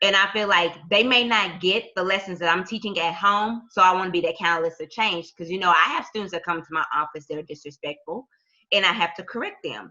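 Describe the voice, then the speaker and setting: Speaking with an American accent, a woman has an ordinary speaking voice at a medium pitch. She talks at a fairly quick pace with ordinary pitch variation. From US South, Tulsa, Oklahoma. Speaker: school counselor. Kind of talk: interview.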